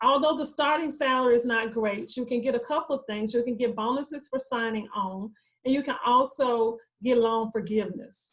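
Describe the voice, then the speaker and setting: The woman's voice is high in pitch with fairly even intonation. She speaks at a fairly quick pace. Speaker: university career advisor. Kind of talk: online presentation. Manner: fast.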